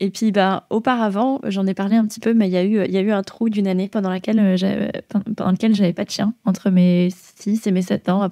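Speaking at a fairly quick pace, a woman has a dark, mellow tone at medium pitch with monotone, flat intonation, in a very clean, dry, close recording with no echo and a silent background. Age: 20s. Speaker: dog trainer. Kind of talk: casual chat. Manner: hesitant, many fillers.

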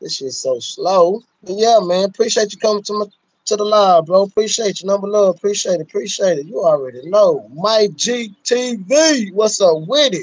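A high-pitched man at a moderate pace with lively intonation

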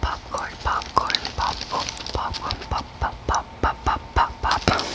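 A woman whispers at a very slow pace while music plays in the background. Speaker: content creator. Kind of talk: repeated trigger words, close whisper style. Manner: close-mic whispered repeated trigger words. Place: home room. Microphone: studio mic.

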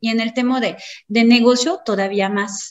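A woman's fairly high, somewhat breathy voice with ordinary pitch variation. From France. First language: French (speaking Spanish). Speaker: marketing consultant. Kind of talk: lecture.

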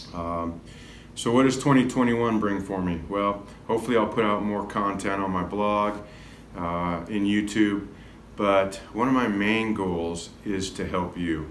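A fairly low-pitched man's voice at a fairly slow pace, with audible room echo and light background noise. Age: 50s. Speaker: health and wellness coach; wellness coach. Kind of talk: self-recorded video talk. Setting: classroom. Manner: casual with frequent fillers. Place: classroom. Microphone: phone near.

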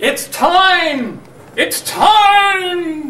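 A man puts on a character voice. It sits extremely high in pitch. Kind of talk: comedy skit dialogue. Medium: stage.

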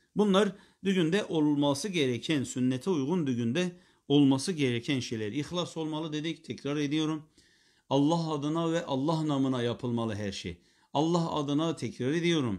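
The background is quiet. A man speaks at a moderate pace and fairly high pitch, with ordinary pitch variation. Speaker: Islamic preacher teacher. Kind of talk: religious lecture. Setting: live stream. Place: home room.

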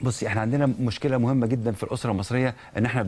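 A man at a very fast pace. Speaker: psychologist or counselor. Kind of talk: TV talk show interview.

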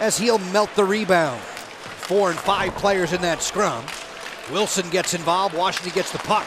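Over crowd noise in the background, a man talks at a moderate pace in a high-pitched voice with an animated tone. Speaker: hockey play-by-play announcer. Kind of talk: live commentary. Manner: animated, rising intensity on shots and saves.

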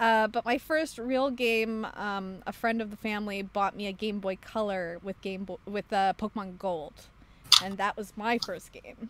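A woman's unremarkable speaking voice at medium pitch, moderate in pace, with fairly even intonation. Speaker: podcast host. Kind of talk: casual chat. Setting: video call.

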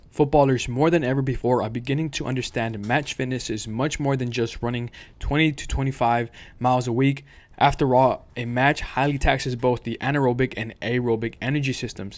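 Speaking at a fairly quick pace, a man keeps his intonation fairly even. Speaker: fitness coach. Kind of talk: tutorial. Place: home room.

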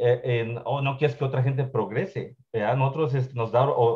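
At a moderate pace, a man speaks at medium pitch with fairly even intonation.

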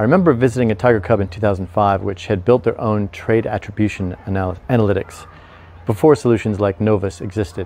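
The voice has a dark, mellow tone, moves at a fairly quick pace and shows ordinary pitch variation. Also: man. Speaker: investment commentator. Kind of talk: commentary. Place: garden. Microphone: lapel.

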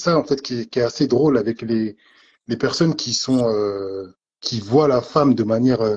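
A man speaks with ordinary pitch variation. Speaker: debate participant. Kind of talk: heated debate. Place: home room. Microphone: phone near.

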